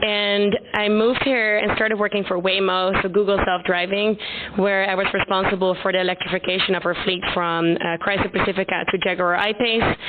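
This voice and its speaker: Over noticeable background noise, the voice runs in a monotone, flat line at very even loudness with hardly any pauses. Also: woman, medium pitch for a woman, fairly quick pace. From Netherlands. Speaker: startup founder. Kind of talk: conference presentation.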